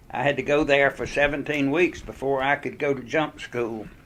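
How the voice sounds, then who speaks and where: This man, with a Southern US accent, talks at a moderate pace in a fairly high pitch with fairly even intonation. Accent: Southern American. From Greensboro, North Carolina. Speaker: war veteran. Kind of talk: oral history interview answer.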